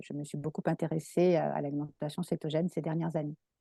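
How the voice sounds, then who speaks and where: A woman's dark, mellow voice at a fairly quick pace, dry and close with no echo, over a quiet background. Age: 60s. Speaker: naturopath. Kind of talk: interview. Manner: halting.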